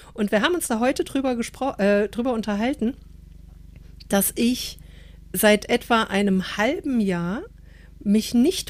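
A woman's fairly high voice moves with lively intonation at a very slow pace, broken by long, frequent pauses. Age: 50s. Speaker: podcast co-host. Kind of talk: casual chat.

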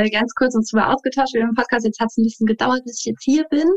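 In a dry, close recording with no echo, a woman with an unremarkable speaking voice talks at a fairly quick pace, fairly high in pitch and fairly even in intonation. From Saarland, Germany. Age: 30s. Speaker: dance teacher and life coach. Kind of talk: interview.

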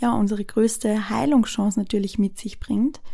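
A woman speaks at a fairly high pitch in a somewhat breathy voice with a dark, mellow tone. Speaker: podcast host. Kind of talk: personal monologue. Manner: hesitant with filler sounds.

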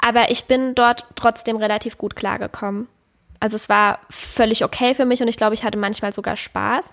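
Fairly even intonation and a moderate pace from a woman with a fairly high pitch. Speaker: podcast co-host, parent. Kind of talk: casual chat.

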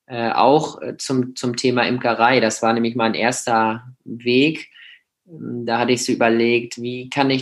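The voice belongs to a man and stays at medium pitch. He takes things fairly slowly. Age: 20s. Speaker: beekeeper. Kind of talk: interview. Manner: halting.

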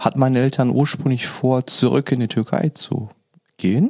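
A man's dark, mellow voice at medium pitch and moderate pace, with ordinary pitch variation. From Germany. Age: 40s. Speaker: podcast guest sharing life story. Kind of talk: personal testimony in casual interview. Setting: video call.

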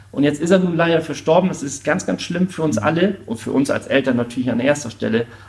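With noticeable background noise, a man rattles along at a very fast pace with hardly any pauses, his fairly high voice showing ordinary pitch variation. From Schleswig-Holstein, northern Germany. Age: 40s. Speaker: charity volunteer. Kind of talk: interview.

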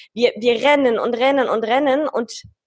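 This is a woman talking. Her voice sits high in pitch. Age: 20s. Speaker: business executive. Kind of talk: interview.

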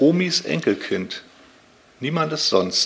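A man talks with very wide pitch swings. Noticeable background noise sits behind him. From northern Germany, Lübeck. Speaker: author and publisher. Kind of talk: interview. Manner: halting, frequent filler sounds.

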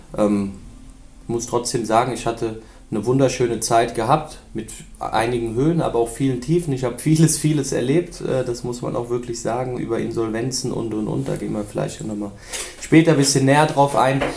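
A man talks at a moderate pace with vocal fry. Audible room echo surrounds his voice. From Germany, Rhein-Main area (Hesse). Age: 20s. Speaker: former footballer, scout and assistant coach. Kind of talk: podcast interview.

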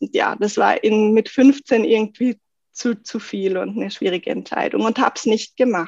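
A somewhat breathy woman's voice, fairly high in pitch with ordinary variation, at a moderate pace, in a dry, close sound with no echo. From South Tyrol, Italy. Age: 30s. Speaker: goldsmith. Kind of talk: podcast interview.

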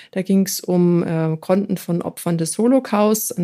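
The speaker is a woman with a medium pitch. Her tone is dark and mellow. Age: 40s. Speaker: political candidate. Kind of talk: interview. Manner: hesitant with fillers.

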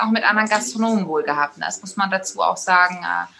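A woman talks while noticeable noise sits in the background. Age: young. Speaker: innkeeper.

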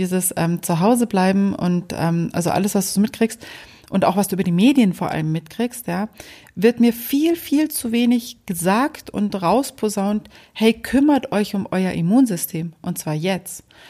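Speaking at a moderate pace, a woman has a somewhat breathy, dark, mellow tone, a medium pitch and ordinary pitch variation. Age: 40s. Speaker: podcast host. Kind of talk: casual chat.

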